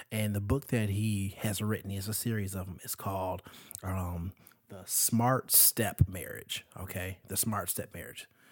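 On a very clean recording with a silent background, a man with a fairly low voice speaks at a fairly slow pace in a monotone, flat intonation, with big swings in loudness. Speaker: podcast co-host. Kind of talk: casual chat. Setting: home recording at night. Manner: mellow.

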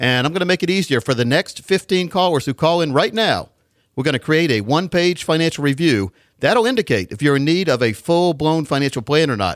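A plain, everyday voice at a fairly quick pace, dry and close with no echo, on a very clean recording with a silent background. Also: man, fairly high pitch for a man, lively intonation. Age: 60s. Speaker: financial advisor and radio show host. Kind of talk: financial radio show with sales pitch. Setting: radio studio.

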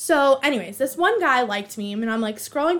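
An animated woman talks fairly quickly with an American accent. Her intonation is lively. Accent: Boston accent coming out at times. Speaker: podcast host. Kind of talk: casual solo chat.

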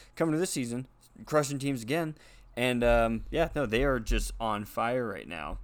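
A man with a plain, everyday voice, medium pitch and moderate pace. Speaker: podcast host. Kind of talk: casual sports banter. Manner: casual, joking.

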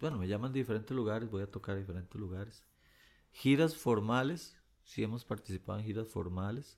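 An ordinary speaking voice from a man at a fairly quick pace, on a very clean recording with a silent background. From Costa Rica, Pérez Zeledón. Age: 50s. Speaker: singer-songwriter. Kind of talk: interview conversation.

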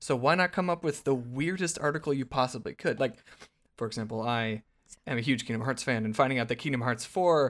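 A man with lively intonation at a fairly quick pace. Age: 20s. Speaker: VR content creator. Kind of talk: casual chat.

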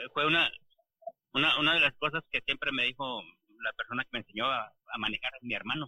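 Talking at a very fast pace with long, frequent pauses, a man shows ordinary pitch variation. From interior of Mexico. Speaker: truck driver. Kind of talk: casual chat. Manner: halting.

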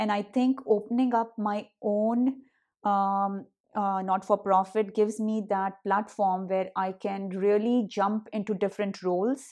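Over a quiet background, a woman with an Indian accent speaks at a fairly slow pace in a medium pitch and a monotone, flat intonation. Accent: Hindi-accented English. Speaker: nonprofit founder. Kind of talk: interview. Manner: halting, filler-heavy.

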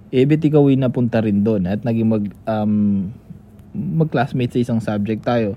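Spoken in a normal speaking voice at a moderate pace, with ordinary pitch variation. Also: man, medium pitch for a man. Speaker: podcast co-host. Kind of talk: casual chat.

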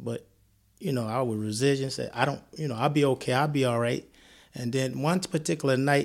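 A man speaks at a moderate pace with a Mississippi accent. His pitch is medium and his intonation fairly even. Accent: Mississippi Southern US. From US South, Columbia, Mississippi. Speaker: guest sharing illness story. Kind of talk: testimony.

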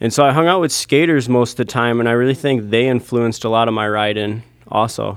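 With an American accent, a man of medium pitch talks at a very fast pace with ordinary pitch variation. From US Midwest, Michigan. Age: 20s. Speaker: pro scooter rider. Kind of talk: casual interview chat.

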